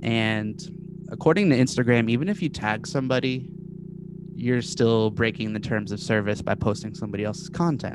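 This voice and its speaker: A man speaks in a plain, everyday voice at a medium pitch. His intonation is lively and his pace fairly quick. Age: 30s. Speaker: social media meme page creator. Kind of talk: casual chat.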